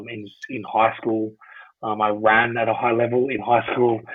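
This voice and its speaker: In an Australian accent, a man talks at a moderate pace with a medium pitch and a flat, monotone delivery. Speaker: former professional rugby player. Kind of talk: podcast interview. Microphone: poor sound quality.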